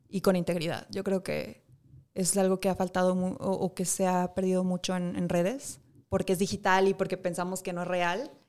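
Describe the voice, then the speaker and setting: Her medium-pitched voice stays monotone and flat at a moderate pace, recorded very cleanly against a silent background. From Monterrey, Mexico. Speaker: fashion school teacher. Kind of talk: studio interview. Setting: studio. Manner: halting, many fillers.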